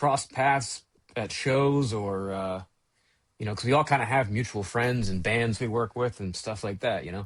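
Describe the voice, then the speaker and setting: A man with an American accent, a normal speaking voice, medium pitch, ordinary pitch variation and moderate pace, quiet background. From Baltimore, Maryland. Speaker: sound engineer. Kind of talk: podcast interview.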